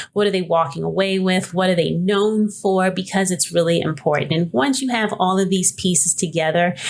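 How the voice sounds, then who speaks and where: Over noticeable background noise, a woman with an American accent speaks at a fairly low pitch with ordinary pitch variation. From New York City. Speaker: podcast host, business coach. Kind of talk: casual podcast monologue. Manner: hesitant, many fillers.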